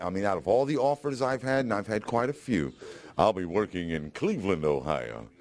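At a moderate pace, a man with a fairly low pitch swings very widely up and down. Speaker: former radio morning host. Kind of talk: interview answer. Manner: excited, emotional, halting.

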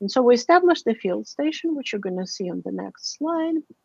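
The woman's pitch swings very widely. Her voice sounds dry and close, with no echo. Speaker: linguist, director of a university field station in Guatemala. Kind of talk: academic talk with slides.

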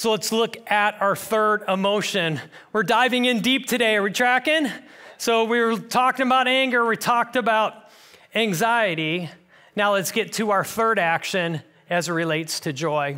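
A man's raised, projected voice, bright and sharp in tone, at a moderate pace with ordinary pitch variation. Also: quiet background. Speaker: pastor. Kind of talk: sermon. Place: church. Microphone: headset.

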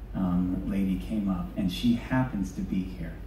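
Audible room echo and light background noise surround the speech. A man talks at a moderate pace. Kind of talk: stage banter with audience. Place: stage.

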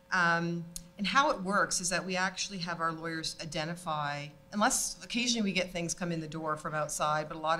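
Over light background noise, a woman with a fairly low pitch talks at a fairly quick pace in an unremarkable speaking voice. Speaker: panellist. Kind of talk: panel discussion remarks. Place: hall. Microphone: studio mic.

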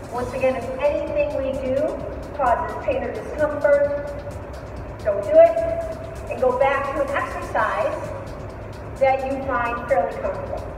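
Long, frequent pauses at a moderate pace, with audible room echo and music in the background. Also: woman. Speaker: fitness instructor. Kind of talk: workout instruction. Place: gym. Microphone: camera far.

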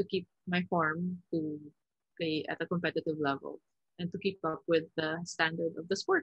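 Speech comes at a moderate pace against a quiet background. The sound is dry, with no echo. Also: woman. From Philippines, then Vancouver, Canada. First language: Tagalog. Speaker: volleyball player; guest. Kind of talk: interview. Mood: calm, reflective. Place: home room. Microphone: video call.

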